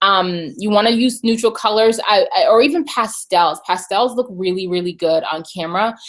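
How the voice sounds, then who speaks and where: Speaking at a moderate pace with hardly any pauses, a woman with a normal speaking voice sounds fairly high and uses lively intonation. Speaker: beauty and video marketing vlogger. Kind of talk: live webinar tutorial. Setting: live online broadcast from home. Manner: casual, many fillers.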